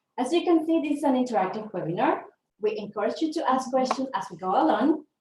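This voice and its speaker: A woman with a Venezuelan accent, speaking at a very fast pace, high in pitch with very wide pitch swings. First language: Spanish. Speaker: leadership development consultant. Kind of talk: webinar presentation. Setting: online webinar.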